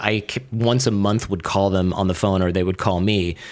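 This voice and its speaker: A man with an American accent and an animated tone. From US Midwest, Michigan. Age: 40s. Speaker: podcaster and lawyer. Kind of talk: casual chat.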